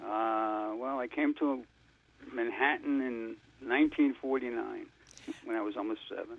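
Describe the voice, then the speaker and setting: Speaking at a fairly slow pace with an American accent, this voice leaves long, frequent pauses. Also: man. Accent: Lower East Side New York, slightly Floridian. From New York City, Lower East Side. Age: 70s. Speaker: Holocaust survivor and organization founder. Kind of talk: interview testimony.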